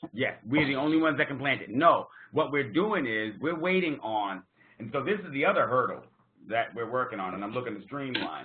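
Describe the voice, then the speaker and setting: Here a man speaks in a medium pitch at a fairly quick pace. His tone is animated and his intonation lively. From US Northeast. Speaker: business group leader hosting a call. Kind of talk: conference call meeting. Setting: phone conference call.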